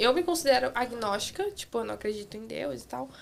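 A woman speaks at a fairly quick pace. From Santa Catarina, southern Brazil. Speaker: cleaner and former au pair. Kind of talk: casual chat. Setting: studio.

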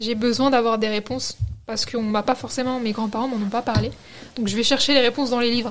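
Over noticeable background noise, a woman talks at a very fast pace in a fairly high pitch, her intonation monotone and flat. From France, Algerian heritage. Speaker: book influencer. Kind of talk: interview.

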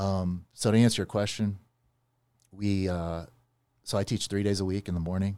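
A man speaks in a dark, mellow tone with monotone, flat intonation and long, frequent pauses. The recording is very clean, with a silent background. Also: moderate pace. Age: 40s. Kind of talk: casual chat.

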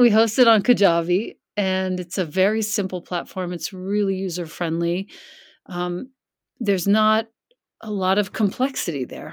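A woman with an unremarkable speaking voice, medium pitch with ordinary variation, and a moderate pace, on a very clean recording with a silent background. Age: 50s. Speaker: yoga and meditation teacher. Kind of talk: casual chat.

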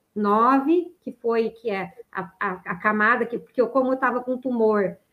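An ordinary speaking voice at a fairly slow pace. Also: woman. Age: 50s. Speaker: ultramarathon runner, cancer survivor. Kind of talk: testimony. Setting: online live stream.

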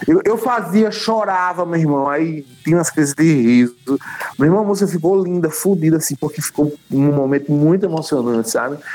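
A man's high voice with lively intonation and very even loudness, at a moderate pace, with music in the background. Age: 50s. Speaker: musician. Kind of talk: casual chat. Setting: video call.

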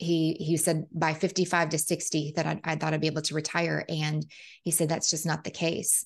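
Over a quiet background, a woman speaks at a moderate pace in a very deep, low voice, her loudness very even. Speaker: real estate investor. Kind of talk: interview. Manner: enthusiastic.

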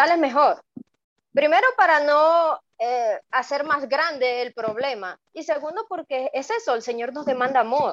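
A woman with a high pitch speaks fairly slowly, recorded with a dry, close sound and no echo. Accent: Venezuelan. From Venezuela, Maracaibo, Zulia. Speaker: migrant guest. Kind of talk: testimony.

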